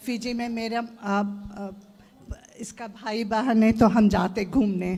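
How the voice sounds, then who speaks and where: A woman's fairly high voice, monotone and flat in intonation, with big swings in loudness. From Fiji. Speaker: devotee asking at religious Q&A. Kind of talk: casual chat. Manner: halting.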